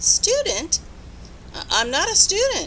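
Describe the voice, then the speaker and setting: Against clear background noise, a woman puts on a character voice with an extremely high pitch at a fairly slow pace. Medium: read story.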